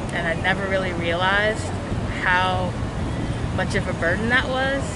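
A woman is speaking over loud background noise. The sound is dry, with no echo. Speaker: interviewee. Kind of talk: interview answer. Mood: reflective, emotional. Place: street. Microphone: phone near.

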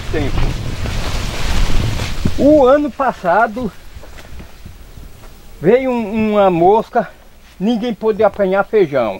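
Talking at a very slow pace with long, frequent pauses, a man's high pitch varies in an ordinary way, recorded with a dry sound with no echo and light background noise. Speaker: farmer. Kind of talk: interview answer. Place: farm. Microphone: phone near.

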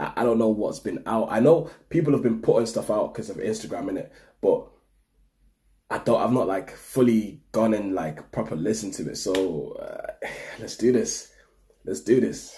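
Over light background noise, a man talks at a moderate pace with big swings in loudness. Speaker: reaction video host. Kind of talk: casual vlog chat. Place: home room. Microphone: webcam.

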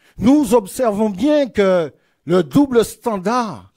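Over a quiet background, a man with a dark, mellow tone speaks at a very slow pace with lively intonation. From Martinique. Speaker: politician. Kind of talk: political rally speech. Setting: stage with audience. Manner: oratorical. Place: hall. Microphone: podium.

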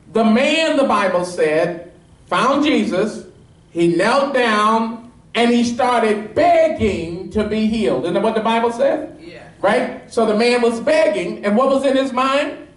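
A man speaks at an extremely high pitch and a fairly slow pace, animated in tone with lively intonation. There is audible room echo. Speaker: pastor. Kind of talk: sermon. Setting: church with live congregation, also streamed on Periscope. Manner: animated, call-and-response, pressing the congregation for amens; fervent, urgent preaching. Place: church.

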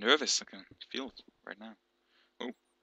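A man speaks with a Danish accent in a bright, sharp tone. The sound is dry and close, with no echo. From Denmark. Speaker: gaming YouTuber. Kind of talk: gameplay commentary. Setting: home gaming setup, headset. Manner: animated; halting.

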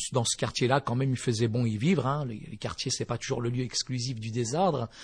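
Somewhat breathy, a man speaks against a quiet background. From eastern France (Vosges), born in Morocco. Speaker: pastor. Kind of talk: testimony. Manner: hesitant, many fillers.

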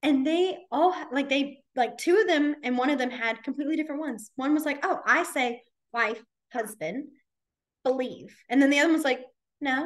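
A woman with a high pitch speaks at a moderate pace, using ordinary pitch variation and long, frequent pauses, over a quiet background. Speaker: sign language teacher. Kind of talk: lecture. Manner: casual, filler-heavy. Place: home room. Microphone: video call.

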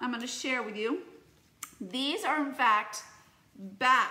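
Raising and projecting her voice, a woman speaks with a bright, sharp tone. Her pace is moderate, and the room echo is audible. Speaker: teacher. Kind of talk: casual tutorial vlog chat. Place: home room. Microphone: phone near.

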